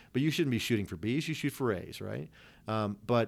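On a very clean recording with a silent background, a man talks at a very fast pace, medium in pitch with ordinary pitch variation. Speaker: retired air force colonel and economics professor. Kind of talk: casual interview. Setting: his office.

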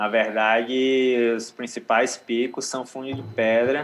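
A man talks at a very slow pace. His medium-pitched voice is monotone and flat. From Northeast Brazil, Aracaju and Natal. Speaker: yoga instructor and surfer. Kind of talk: casual chat.

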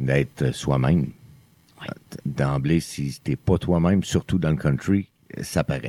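A dark, mellow tone moves at a very slow pace with ordinary pitch variation, long and frequent pauses, a dry, close sound with no echo, and very even loudness. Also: man, very deep, low pitch for a man. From Quebec, Outaouais region. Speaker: country singer-songwriter. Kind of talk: casual interview. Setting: studio, around a table.

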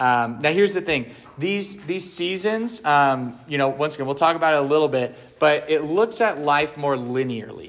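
Speaking at a moderate pace with lively intonation, this man has an ordinary speaking voice and a fairly high pitch. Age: 30s. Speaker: pastor leading a men's ministry session. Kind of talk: talk to a men's group. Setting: live room with audience and slides. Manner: casual with many fillers.

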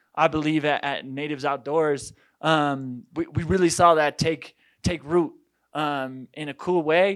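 Heard here is a man with an American accent. He talks at a fairly high pitch. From Colorado, Boulder. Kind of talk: conference talk. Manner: halting, many fillers.

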